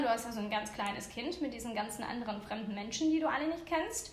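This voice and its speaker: With audible room echo behind her, a woman talks at a fairly quick pace, her pitch swinging very widely. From Ukraine. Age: 30s. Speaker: cheerleader parent. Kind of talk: casual interview.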